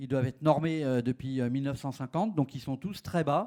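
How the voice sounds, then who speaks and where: A man's fairly high voice at a moderate pace. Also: very clean recording, silent background. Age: 60s. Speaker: urban age-friendly policy expert. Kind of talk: conference panel talk. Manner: hesitant, many fillers.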